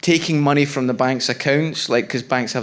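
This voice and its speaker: A man speaks with a Scottish accent. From Scotland. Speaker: stand-up comedian. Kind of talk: stand-up. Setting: stage with audience.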